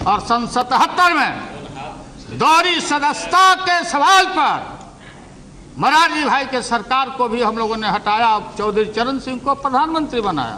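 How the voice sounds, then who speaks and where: A man's raised, projected voice at an extremely high pitch, with a Bihari accent, over noticeable background noise. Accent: Bihari Hindi. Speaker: politician. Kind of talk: parliamentary speech. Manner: humorous, witty.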